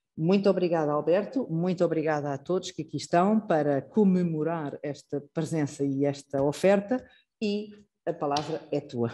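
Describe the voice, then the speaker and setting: A woman speaks at a moderate pace with a very deep, low pitch, ordinary pitch variation and a dark, mellow tone. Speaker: institute director hosting a lecture. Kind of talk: formal introduction speech. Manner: hesitant, many fillers.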